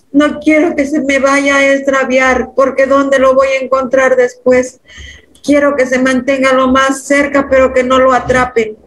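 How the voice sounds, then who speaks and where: A woman's high-pitched voice, flat and monotone, fairly slow, with very even loudness. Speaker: hypnosis client. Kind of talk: emotional testimony. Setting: video call. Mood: earnest, emotional. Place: home room. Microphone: video call.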